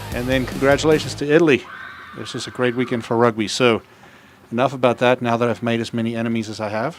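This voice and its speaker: Music sits in the background as a man speaks at a very fast pace in a medium pitch with fairly even intonation. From South Africa. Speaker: rugby stream commentator. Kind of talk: live commentary. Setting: outdoors at a rugby field by a trailer, raining.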